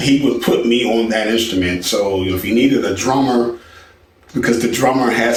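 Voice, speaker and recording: Noticeable background noise sits behind a man with an American accent. He talks at a moderate pace and medium pitch with fairly even intonation. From Philadelphia, US. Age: 60s. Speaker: songwriter and film composer. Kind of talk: personal life story. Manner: relaxed, with many filler words.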